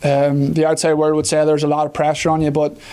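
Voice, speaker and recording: A man's fairly high voice with an Irish accent, dark and mellow in tone, in a monotone, flat intonation. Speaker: professional football kicker. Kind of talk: press conference interview. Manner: hesitant, many fillers.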